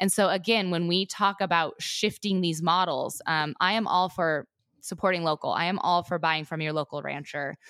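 A woman speaks at a moderate pace in an ordinary speaking voice, with an American accent, fairly low pitch and ordinary pitch variation. The recording is very clean, with a silent background. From Montana, US. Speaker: rancher and agriculture advocate. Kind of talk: casual interview.

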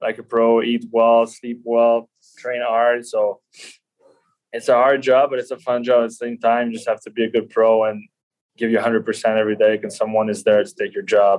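A Quebec accent at a moderate pace. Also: man. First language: French. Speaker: professional ice hockey player. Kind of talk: podcast interview.

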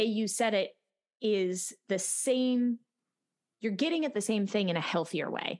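A woman with a normal speaking voice at a fairly high pitch and a fairly slow pace, against a quiet background. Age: 30s. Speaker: podcast host and choir teacher. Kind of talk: casual interview chat.

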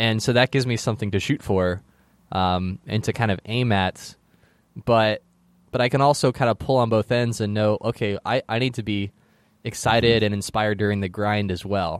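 With a normal speaking voice, the speaker keeps a moderate pace and fairly even intonation against a quiet background. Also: man, fairly low pitch for a man. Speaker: podcast host. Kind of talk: interview, hosting intro.

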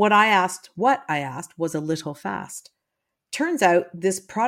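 A natural reading voice, full of lively intonation, is heard against a quiet background.

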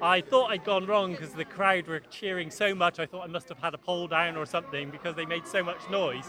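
Over noticeable background noise, a man talks at a fairly quick pace with hardly any pauses, using a high pitch and ordinary pitch variation. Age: 50s. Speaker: dog agility competitor. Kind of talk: post-event interview. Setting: event venue with crowd.

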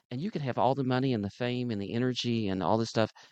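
In a Southern US accent, a man talks fairly quickly at medium pitch with ordinary pitch variation, and the sound is dry and close with no echo. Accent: Southern twang. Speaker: podcast host. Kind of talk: casual banter. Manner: animated, joking.

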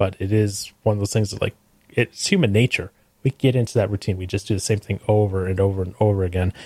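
In a very clean recording with a silent background and a dry, close sound with no echo, a man speaks very fast in a fairly low, somewhat breathy voice with monotone, flat intonation. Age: 30s. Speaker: podcast guest, podcast co-host. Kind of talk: casual chat.

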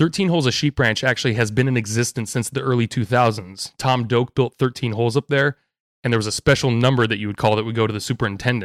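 On a very clean recording with a silent background and a dry, close sound with no echo, a man speaks at medium pitch in an energetic tone, at a very fast pace with ordinary pitch variation. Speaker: golf caddie. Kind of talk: casual chat.

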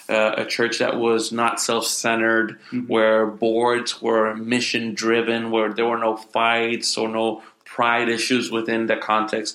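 A man speaks at a fairly slow pace and medium pitch, with hardly any pauses. His intonation stays monotone and flat over noticeable background noise. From Puerto Rico. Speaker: pastor. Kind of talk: interview. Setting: conference. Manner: halting.

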